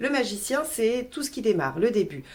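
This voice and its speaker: A woman is speaking. Her pace is moderate. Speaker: tarot reader. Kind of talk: tarot reading video. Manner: hesitant, many fillers.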